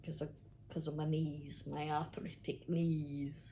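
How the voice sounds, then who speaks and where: Very slowly, a woman speaks at a very deep, low pitch in a dark, mellow tone that is somewhat breathy. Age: 60s. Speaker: knitting vlogger. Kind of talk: casual chat. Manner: chatty, hesitant.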